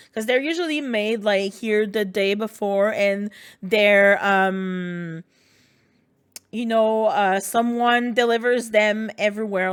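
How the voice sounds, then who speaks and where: With a French Canadian accent, a woman talks at a very slow pace. The recording is very clean, with a silent background. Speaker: video game streamer. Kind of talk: casual chat. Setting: livestream.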